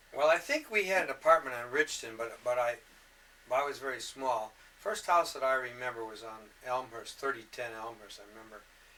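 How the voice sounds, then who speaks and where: A man with an American accent talks at a fairly quick pace in a medium pitch, with ordinary pitch variation. His loudness swings widely, and noticeable background noise is audible. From Detroit, Michigan. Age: 60s. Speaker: interviewee recounting life story. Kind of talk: oral history interview. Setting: home recording. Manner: halting.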